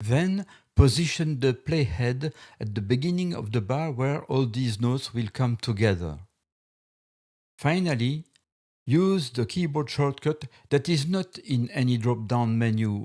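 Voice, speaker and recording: A man with a Belgian accent speaks at a fairly slow pace in a dark, mellow tone and a medium pitch, his intonation lively and his speech broken by long, frequent pauses, on a very clean recording with a silent background. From Belgium. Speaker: music software tutor. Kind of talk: software tutorial narration.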